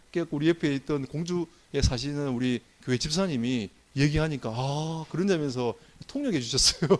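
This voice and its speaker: A fairly high-pitched man with lively intonation at a very fast pace. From Gyeongsang province, South Korea. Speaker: pastor. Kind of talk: sermon.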